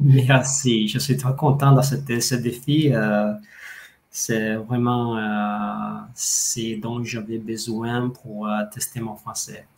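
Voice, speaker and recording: A man speaks with an Italian accent. His pace is very slow and his intonation fairly even. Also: medium pitch for a man. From Italy. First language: Italian (speaking French). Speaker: language coach. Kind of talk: interview. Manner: halting, many hesitations.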